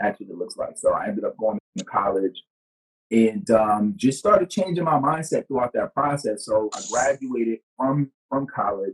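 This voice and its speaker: The speaker has a strong New York accent and a moderate pace. The sound is dry and close with no echo. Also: man. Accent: New York accent, heavy. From New York, the Bronx. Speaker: business coach and speaker. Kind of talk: podcast interview. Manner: casual, many fillers.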